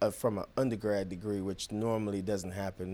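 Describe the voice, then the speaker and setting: A man's fairly low, monotone, flat voice at a fairly quick pace, on a very clean recording with a silent background. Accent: Jamaican. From Jamaica, Kingston. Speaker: genomics company founder and veteran. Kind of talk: interview.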